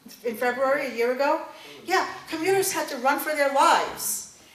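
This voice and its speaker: A woman with a New York accent speaks in a high voice with ordinary pitch variation over noticeable background noise. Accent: New York City. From East Bronx, New York. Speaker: congressional candidate. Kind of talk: campaign speech.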